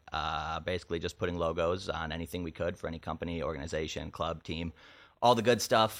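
A man with an American accent at a fairly quick pace, fairly even in intonation, on a very clean recording with a silent background. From northern Illinois. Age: 20s. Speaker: talent agency entrepreneur. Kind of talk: casual chat. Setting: home studio.

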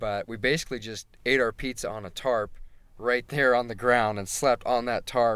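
Speaking with a plain, everyday voice, a man talks at a medium pitch and moderate pace with fairly even intonation and big swings in loudness, on a very clean recording with a silent background. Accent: American. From Utah, Provo area. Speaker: landscape photographer. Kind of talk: casual chat. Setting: in a car.

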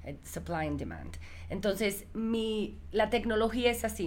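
In a room with audible echo, a woman speaks at a very slow pace. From United States, Cuban parents. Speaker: entrepreneur. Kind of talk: casual interview. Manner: code-switching Spanish and English; halting.

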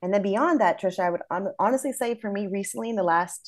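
The background is quiet as a woman talks at a fairly quick pace. She speaks with a Midwestern American accent. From US Midwest, small town. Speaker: educator. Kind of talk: interview.

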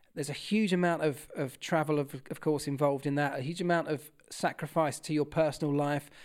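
Speaking with a southern English accent, a man talks at a very fast pace on a very clean recording with a silent background. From southern England, Kent. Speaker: former motorsport mechanic and TV presenter. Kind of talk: interview.

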